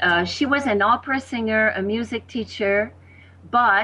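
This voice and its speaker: A woman speaks at a medium pitch with a French accent. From Quebec, Canada. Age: 60s.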